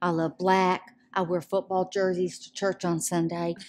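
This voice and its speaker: A woman speaks at a medium pitch. She has a Southern US accent. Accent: Southern American. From Georgia, US South (Atlanta). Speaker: women's ministry director. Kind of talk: testimony interview. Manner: loud.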